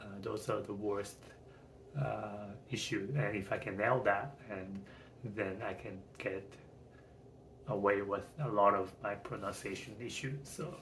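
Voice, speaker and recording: Speaking with a non-native accent, the voice moves at a fairly slow pace with long, frequent pauses and fairly even intonation. Audible room echo is present. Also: man, fairly low pitch for a man. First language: not English. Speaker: channel owner practicing speech. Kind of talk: casual monologue. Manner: mumbling; halting.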